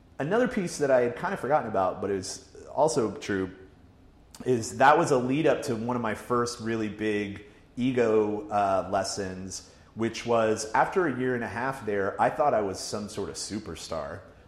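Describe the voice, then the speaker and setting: Here is a man with an ordinary speaking voice. His pitch is medium, with ordinary pitch variation. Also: moderate pace. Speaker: digital media editor. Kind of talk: casual chat.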